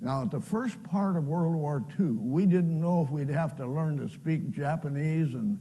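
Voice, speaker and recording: With an American accent, a man talks at a fairly slow pace in a dark, mellow tone, his fairly high pitch somewhat breathy and showing ordinary pitch variation. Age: 80s+. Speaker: pastor and World War II veteran. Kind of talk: personal testimony talk.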